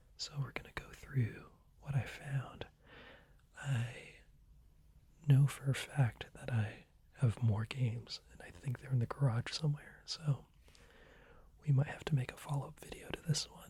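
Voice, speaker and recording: A man whispers at a fairly slow pace, with long, frequent pauses. His loudness swings widely. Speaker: ASMR creator. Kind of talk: ASMR whisper video. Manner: whispered.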